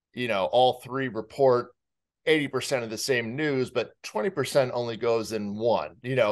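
A man with an American accent, over a quiet background. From New York. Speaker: podcast guest, podcast producer and host. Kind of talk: interview answer. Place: home room. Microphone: studio mic.

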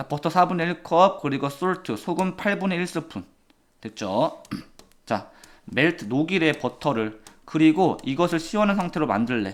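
On a very clean recording with a silent background, a man talks at a fairly slow pace with vocal fry. His voice is fairly high in pitch, with lively intonation. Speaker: English teacher. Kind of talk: lecture.

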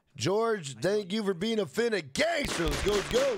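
With an American accent, a man speaks in a high pitch at a moderate pace, his tone animated over noticeable background noise. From United States. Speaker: gaming live streamer. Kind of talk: casual live-stream gameplay commentary and chat. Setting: live stream from home. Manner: animated, hyped; profane, loose. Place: home room. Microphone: studio mic.

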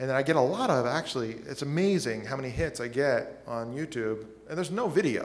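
This man's voice sits at a fairly high pitch. He talks at a moderate pace with ordinary pitch variation. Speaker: podcast host. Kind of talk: conference workshop presentation. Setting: stage with audience. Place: hall. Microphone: podium.

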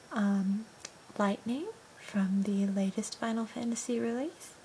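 A soft-spoken woman at a fairly slow pace, with fairly even intonation and light background noise. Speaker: ASMR role-play host. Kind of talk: soft ASMR role-play talk. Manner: soft-spoken ASMR host voice. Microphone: phone near.

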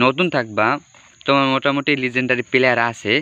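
This man's voice sits at a medium pitch with a bright, sharp tone, recorded with a dry, close sound and no echo. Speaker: mobile football game streamer. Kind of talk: casual live stream chat. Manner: halting.

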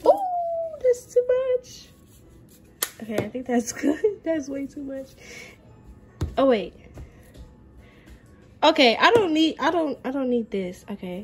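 Over faint background music, a woman speaks at a fairly slow pace with long, frequent pauses and big swings in loudness. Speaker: home cook vlogger. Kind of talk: casual vlog chat. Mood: playful, slightly flustered. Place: kitchen. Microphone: phone near.

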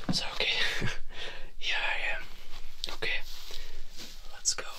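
A whispering man at a moderate pace. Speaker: ASMR creator. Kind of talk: ASMR talk to camera. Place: home room. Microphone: studio mic.

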